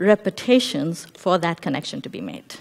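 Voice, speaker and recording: Her pitch moves in very wide swings. The woman keeps a moderate pace. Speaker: researcher of play and relational consultant. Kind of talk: conference talk.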